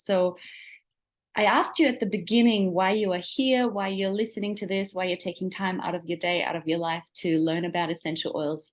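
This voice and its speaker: Against a quiet background, a woman talks at a medium pitch. She has a slight Australian accent. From Germany. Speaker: essential oils seller. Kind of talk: webinar presentation. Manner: enthusiastic.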